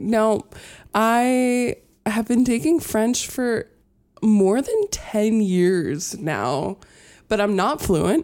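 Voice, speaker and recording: A woman talks at a very slow pace with lively intonation and long, frequent pauses. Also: very clean recording, silent background. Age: 20s. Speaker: university student. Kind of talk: casual chat.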